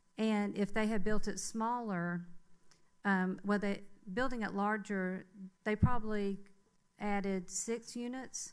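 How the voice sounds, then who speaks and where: In a Southern US accent, a woman speaks at medium pitch with flat, monotone intonation and long, frequent pauses, with audible room echo. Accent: Southern US (Georgia). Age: 60s. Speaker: public commenter at city council meeting. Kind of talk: public comment. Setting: city council meeting. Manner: hesitant, many fillers.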